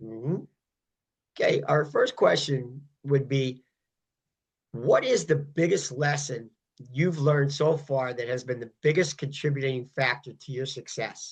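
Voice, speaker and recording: A man's fairly high, somewhat breathy voice, fairly slow and fairly even in intonation, with long, frequent pauses. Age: 60s. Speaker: podcast host and fitness coach. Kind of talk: interview.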